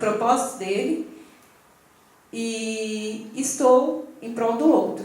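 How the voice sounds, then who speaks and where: Against noticeable background noise and audible room echo, a woman speaks at a high pitch. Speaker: pastor. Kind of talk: sermon.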